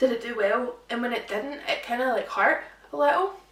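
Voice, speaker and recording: Over noticeable background noise and audible room echo, a woman with a Scottish accent speaks in an animated tone at a high pitch and moderate pace. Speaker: social media influencer. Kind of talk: casual chat.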